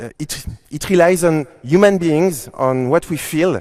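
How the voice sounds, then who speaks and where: With a French accent, a man talks at a fairly slow pace in a fairly high voice with ordinary pitch variation. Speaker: conference speaker. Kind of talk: keynote talk. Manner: halting.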